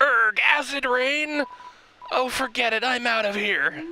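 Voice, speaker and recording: Fairly slow delivery in a put-on character voice, pitched fairly high. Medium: game stream. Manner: shouting, ranting, bossy.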